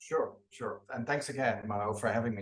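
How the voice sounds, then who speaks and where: Speaking at a fairly quick pace, a man with a medium pitch talks with a Dutch accent. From Netherlands, near Eindhoven. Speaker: international trade official. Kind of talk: interview. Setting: video call.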